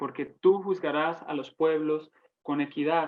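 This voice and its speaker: The speaker has a Santander Colombian accent. The pace is very slow. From Colombia, Santander. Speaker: Bible teacher. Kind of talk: Bible study teaching. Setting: online broadcast.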